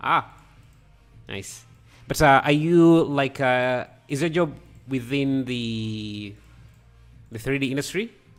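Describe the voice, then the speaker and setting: Over music in the background, a man with a medium pitch and ordinary pitch variation speaks at a very slow pace, leaving long, frequent pauses. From Africa. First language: not English. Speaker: 3D artist livestreamer. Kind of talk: live stream tutorial chat. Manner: halting.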